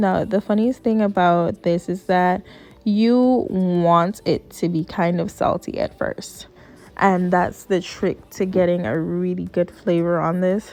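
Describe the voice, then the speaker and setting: Speaking at a fairly slow pace, a woman with a slight Puerto Rican accent uses a medium pitch. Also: ordinary pitch variation. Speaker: cooking video creator. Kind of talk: cooking tutorial. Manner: casual, chatty.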